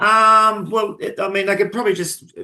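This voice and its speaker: This man's raised, projected voice has a bright, sharp tone. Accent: Australian. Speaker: club general manager. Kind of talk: podcast interview.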